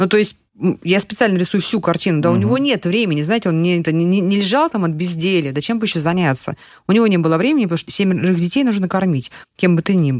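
Very fast and with lively intonation, a woman talks at a fairly low pitch, keeping her loudness very even. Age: 50s. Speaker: podcast co-host. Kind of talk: casual interview chat.

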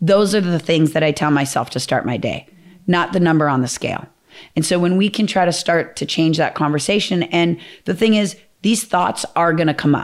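With an American accent, an unremarkable speaking voice moves through ordinary pitch variation. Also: woman, fairly low pitch for a woman, fairly quick pace, very clean recording, silent background. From Minnesota, US Midwest. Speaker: fitness trainer and program founder. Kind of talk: casual interview chat.

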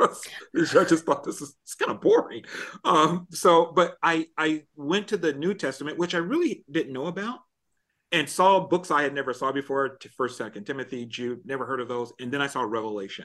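A man with an American accent talks in a plain, everyday voice at a fairly high pitch and moderate pace. His loudness swings widely over a quiet background. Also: lively intonation. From US Midwest (Illinois). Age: 50s. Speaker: pastor and corporate trainer. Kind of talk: casual interview chat.

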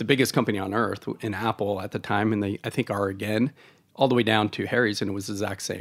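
Speaking very fast with an American accent, a man holds a fairly low pitch and fairly even intonation. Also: very clean recording, silent background. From Oregon, US West Coast. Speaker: supply chain tech founder, military veteran. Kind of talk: interview.

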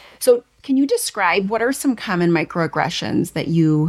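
Here is an unremarkable speaking voice with lively intonation, delivered at a moderate pace. No echo colors the dry, close sound. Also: woman. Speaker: podcast host and speech pathologist. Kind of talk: interview.

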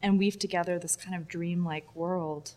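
With an American accent, a woman speaks at a moderate pace. Her pitch is fairly low and her intonation fairly even. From Texas. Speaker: video artist. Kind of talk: casual interview. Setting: gallery space with audio problems.

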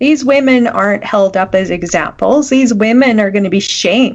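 A woman with a normal speaking voice, fairly high pitch, lively intonation and a moderate pace. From Canada. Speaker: podcast co-host. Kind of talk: casual chat. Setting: video call.

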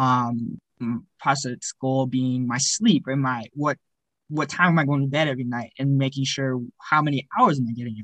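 Recorded with a dry, close sound and no echo, a man with an unremarkable speaking voice at medium pitch talks at a moderate pace, his intonation fairly even but his loudness swinging widely. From Alberta, Canada (Cochrane). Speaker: university student athlete. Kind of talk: interview.

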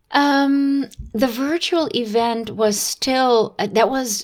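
Ordinary pitch variation marks a woman's speech over noticeable background noise. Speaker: music journalist and DJ. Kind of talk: interview.

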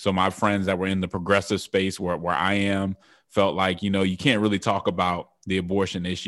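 Speaking at a fairly quick pace, a man with an American accent uses a very deep, low pitch. His intonation is monotone and flat, and the background is quiet. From US West, Denver, Colorado. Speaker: author and political campaign strategist. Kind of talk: interview.

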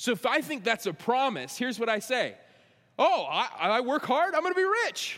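A man speaks at an extremely high pitch with very wide swings in it. His pace is moderate. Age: 30s. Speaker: pastor. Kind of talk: sermon.

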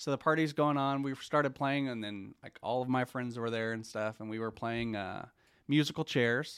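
A man speaks in a plain, everyday voice with an American accent at a moderate pace. His intonation is fairly even, on a very clean recording with a silent background. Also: medium pitch for a man. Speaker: church small group leader. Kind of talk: testimony.

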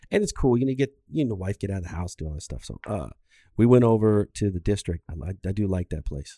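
Fairly low male voice, dark and mellow in tone, at a very fast pace. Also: lively intonation, dry, close sound with no echo. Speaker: podcast host. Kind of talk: casual chat. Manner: casual, joking.

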